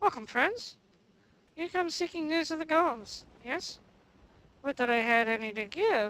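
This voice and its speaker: A put-on character voice moves at a moderate pace with very wide pitch swings. Long pauses come frequently. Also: woman, high pitch for a woman. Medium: game stream. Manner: formal, archaic.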